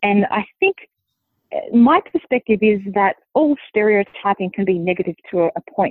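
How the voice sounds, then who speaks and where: This woman has an American accent and a medium pitch. She talks at a fairly slow pace. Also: ordinary pitch variation. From Australia. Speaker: linguist and author. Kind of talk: interview.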